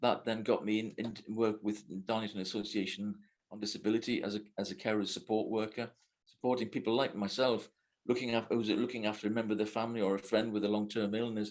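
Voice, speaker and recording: Speaking very fast in a monotone, flat delivery, a man uses a fairly low pitch. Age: 70s. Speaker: reiki master and teacher. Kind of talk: casual chat.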